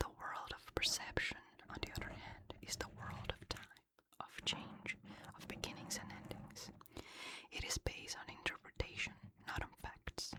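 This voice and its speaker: A woman whispers at a moderate pace, her loudness swinging widely. Noticeable background noise sits behind her. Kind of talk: ASMR sleep reading from a book. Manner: whispered, soft-spoken.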